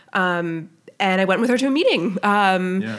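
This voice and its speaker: A woman speaks with an American accent. Her pitch is medium, with ordinary variation. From Colorado, Littleton. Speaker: middle school teacher and gun safety activist. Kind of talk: interview. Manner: hesitant, many fillers.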